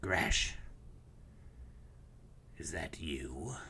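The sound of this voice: Clear background noise sits behind a man doing a put-on character voice that is raspy and very deep and low.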